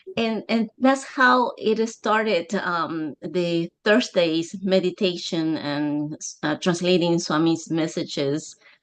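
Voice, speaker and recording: With hardly any pauses, a woman speaks at a very slow pace and a fairly low pitch, her intonation lively. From Peru. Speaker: meditation practitioner and translator. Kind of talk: testimony. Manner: halting.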